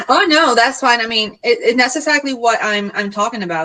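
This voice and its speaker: Talking at a very fast pace with lively intonation, a woman speaks with a Puerto Rican accent over noticeable background noise. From Puerto Rico. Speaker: marketing consultant. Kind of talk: casual panel discussion. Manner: direct.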